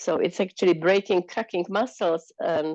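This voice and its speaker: A woman with a non-native accent, fairly low in pitch, fairly slow and fairly even in intonation, against a quiet background. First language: not English. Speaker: participant. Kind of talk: group sharing in online talk. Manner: halting.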